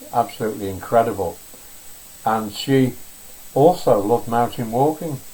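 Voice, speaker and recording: This man talks at a medium pitch with ordinary pitch variation. Noticeable background noise runs under his voice. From northern England, Wirral. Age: 70s. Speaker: pastel artist. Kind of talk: live painting demonstration. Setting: home art studio, live stream. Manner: relaxed, frequent fillers.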